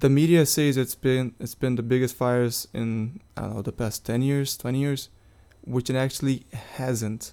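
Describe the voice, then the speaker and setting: A man talks in a dark, mellow tone with a Portuguese accent. His pitch sits in the medium range. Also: fairly even intonation, moderate pace. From Brazil, Rio de Janeiro. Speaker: international student and soccer player. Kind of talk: interview.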